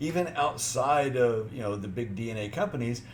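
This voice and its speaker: Against noticeable background noise and audible room echo, a man talks at a moderate pace with a medium pitch. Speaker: genealogy YouTuber. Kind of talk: video announcement.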